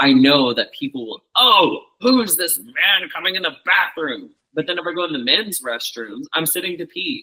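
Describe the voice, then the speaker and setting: This man has a high-pitched, bright, sharp tone with very wide pitch swings. He keeps a moderate pace with hardly any pauses. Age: 30s. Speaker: podcast guest. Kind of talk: casual interview conversation.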